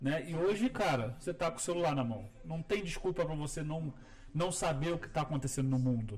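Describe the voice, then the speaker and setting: With a Rio de Janeiro accent, a man speaks fairly quickly in a fairly high voice with lively intonation, amid noticeable background noise. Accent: Carioca Brazilian Portuguese. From Rio de Janeiro, Brazil. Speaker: landscape architect. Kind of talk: casual chat. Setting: studio video podcast, live stream.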